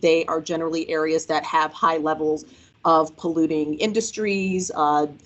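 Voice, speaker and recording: With fairly even intonation, a woman delivers her words at a moderate pace. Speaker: government official. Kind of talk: presentation. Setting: workshop with audience. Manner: loud. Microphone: no microphone.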